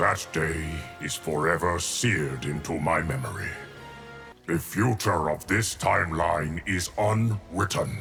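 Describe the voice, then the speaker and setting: A man in a cartoonish character voice speaks fairly slowly in a very deep, low pitch while clear music plays in the background. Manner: calm, measured.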